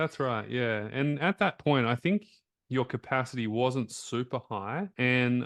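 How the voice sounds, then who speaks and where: A man speaks with an Australian accent at a medium pitch. The sound is dry and close with no echo, and the background is quiet. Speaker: health coach and interviewer. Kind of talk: interview conversation.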